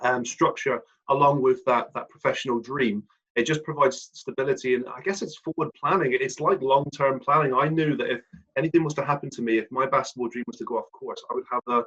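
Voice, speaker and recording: With a West Country accent, a man speaks at a fairly quick pace with big swings in loudness, in a dry, close sound with no echo. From South West England (Plymouth). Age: 30s. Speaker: ex-pro basketball player turned financial planner. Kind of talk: podcast interview.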